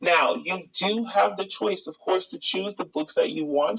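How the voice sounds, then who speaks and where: At a moderate pace, a woman talks with an American accent. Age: young. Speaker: online money-making youtuber. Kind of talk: tutorial.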